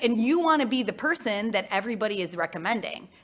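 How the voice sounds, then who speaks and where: A woman speaks with a Midwestern US accent and very wide pitch swings. The recording is very clean, with a silent background. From US Midwest. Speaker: marketing consultant. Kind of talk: conference talk.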